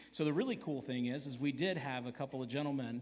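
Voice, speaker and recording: Audible room echo surrounds a man's voice. His pitch is medium and his intonation fairly even. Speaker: church elder. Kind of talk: church family meeting. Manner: loud.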